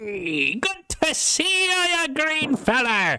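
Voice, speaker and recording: A man talks in a put-on character voice, pitched extremely high. He delivers it at a very slow pace. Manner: jovial, greeting.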